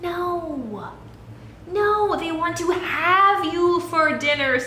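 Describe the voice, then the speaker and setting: Using a put-on character voice at an extremely high pitch, a woman speaks at a very slow pace, with a slight echo and light background noise. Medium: read story.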